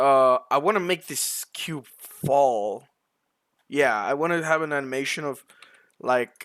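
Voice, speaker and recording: Dry and close with no echo, a man speaks at a fairly high pitch. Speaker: blender tutorial creator. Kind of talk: tutorial. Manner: casual, hesitant with fillers.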